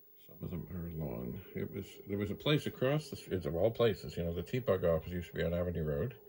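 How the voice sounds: A man with a low pitch and a dark, mellow tone talks at a fairly quick pace with big pitch swings.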